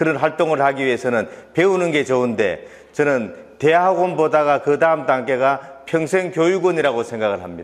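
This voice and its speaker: In an ordinary speaking voice, a man with fairly high pitch talks at a moderate pace with lively intonation. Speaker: tour company founder. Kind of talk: talk concert speech.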